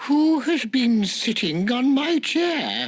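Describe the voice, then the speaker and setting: In a put-on character voice, the speaker goes very slowly at a high pitch. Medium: audio drama.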